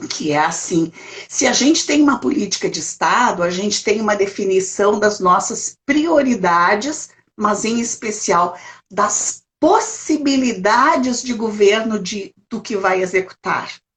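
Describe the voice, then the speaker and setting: A woman speaks with a fairly high pitch and lively intonation. Her pace is fairly slow. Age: 60s. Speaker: elder rights council president. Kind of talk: interview in a live stream. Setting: video call. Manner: halting, many repetitions.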